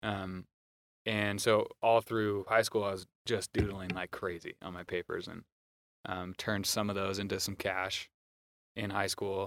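A man with an American accent, a fairly low pitch and monotone, flat intonation, at a fairly slow pace with long, frequent pauses, in a very clean, dry, close recording with no echo and a silent background. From US Pacific Northwest (Moscow, Idaho). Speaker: creative director and graphic designer. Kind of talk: casual interview.

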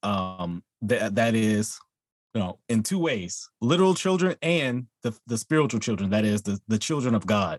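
A man with an American accent and an ordinary speaking voice, medium pitch and lively intonation at a moderate pace, in a dry, close sound with no echo. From Texas. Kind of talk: friendly theological debate.

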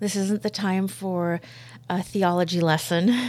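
A woman uses a plain, everyday voice at a medium pitch with ordinary pitch variation. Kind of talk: testimony. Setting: studio.

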